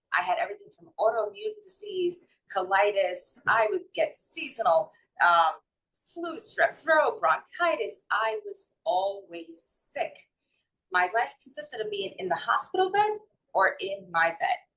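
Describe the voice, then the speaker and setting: A woman with a New York accent, fairly slow, with big swings in loudness. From New York City / North Jersey. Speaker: holistic wellness and mindset coach. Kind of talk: interview.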